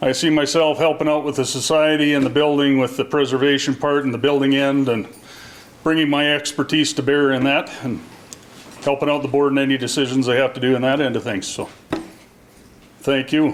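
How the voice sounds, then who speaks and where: A man talks fairly quickly with a Canadian prairie accent, his pitch fairly high. His intonation is monotone and flat, and there is noticeable background noise. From central Alberta, Canada. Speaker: carpenter. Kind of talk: public meeting self-introduction. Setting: community meeting hall, no microphone.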